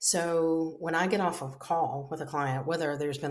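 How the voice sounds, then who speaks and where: The intonation stays fairly even. The speaker is a woman. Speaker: podcast host, marketing agency owner. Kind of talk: casual podcast talk.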